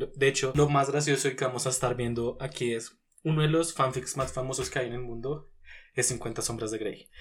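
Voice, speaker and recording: A man's somewhat breathy voice moves at a fairly quick pace and a medium pitch. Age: 20s. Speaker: podcast co-host. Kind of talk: casual chat.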